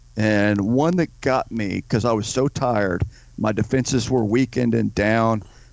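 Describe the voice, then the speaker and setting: A man talks with an unremarkable speaking voice at a medium pitch. His pace is moderate and his pitch variation ordinary. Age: 50s. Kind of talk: interview.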